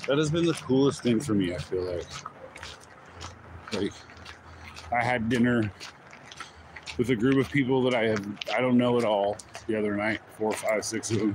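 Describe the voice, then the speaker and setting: A man talks at a moderate pace in a relaxed tone, with ordinary pitch variation. The sound is dry with no echo, though background noise is noticeable. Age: 40s. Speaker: YouTuber vlogging while walking. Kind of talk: casual live-stream vlog. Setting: outdoors, walking. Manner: relaxed, rambling with laughs. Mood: candid, reflective. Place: forest. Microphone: phone near.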